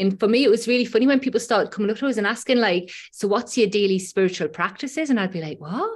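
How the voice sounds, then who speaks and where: A woman's very fast, nearly pauseless delivery in a strong Geordie accent, fairly high in pitch with ordinary pitch variation. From Newcastle, northeast England. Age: 40s. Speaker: breathwork facilitator and shamanic practitioner. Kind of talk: casual interview chat, personal storytelling. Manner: chatty, conversational with fillers.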